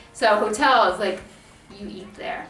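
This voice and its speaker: Music is heard in the background. The voice carries an American accent. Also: woman. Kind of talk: casual talk to camera.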